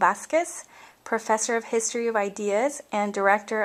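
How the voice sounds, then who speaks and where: A woman's fairly high voice, an unremarkable speaking voice, at a fairly quick pace with fairly even intonation. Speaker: interviewer. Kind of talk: interview introduction.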